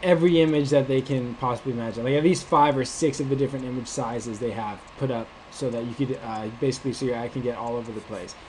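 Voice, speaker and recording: At a very fast pace, a man with an American accent speaks at medium pitch with fairly even intonation. Noticeable background noise runs underneath. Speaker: online marketing instructor. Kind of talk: screen-share tutorial. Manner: casual, many filler words.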